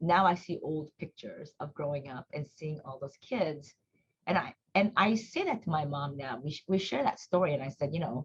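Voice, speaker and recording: A woman with a Korean accent and a very deep, low pitch, somewhat breathy, with lively intonation, big swings in loudness and a moderate pace. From South Korea, then US from age nine. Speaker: nonprofit executive director. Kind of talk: interview, personal reflection. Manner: conversational with frequent fillers.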